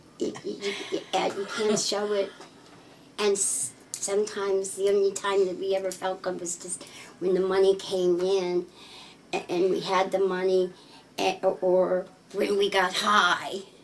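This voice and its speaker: Over noticeable background noise, a woman speaks at a medium pitch and a fairly slow pace with monotone, flat intonation. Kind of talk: interview answer.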